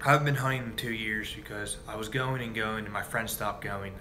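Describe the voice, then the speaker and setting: Speaking at a very fast pace, a man with a medium pitch uses fairly even intonation, with audible room echo and noticeable background noise. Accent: American. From Ohio, Cincinnati. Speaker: fishing and hunting video creator. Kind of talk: live stream chat with viewers. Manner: casual, halting with many fillers.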